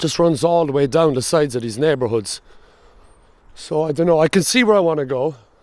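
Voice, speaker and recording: Speaking fairly quickly, a man with a strong Cork accent has a fairly high voice and lively intonation. The recording is very clean, with a silent background. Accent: thick Cork. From Ireland, Cork. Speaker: travel vlogger. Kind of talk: casual vlog narration.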